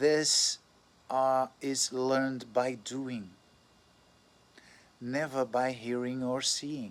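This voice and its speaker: A man's medium-pitched voice with a non-native accent, very slow, with long, frequent pauses and a monotone, flat intonation. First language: not English. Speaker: astrologer. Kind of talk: casual monologue. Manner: halting, with self-corrections.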